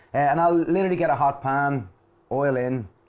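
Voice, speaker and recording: A man speaks with an Irish accent. His tone is animated. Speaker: cooking show host. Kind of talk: cooking demonstration.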